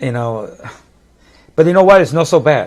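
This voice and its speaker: A man with a Puerto Rican accent speaks with lively intonation. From Puerto Rico. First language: Spanish. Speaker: musician. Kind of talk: casual chat. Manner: halting.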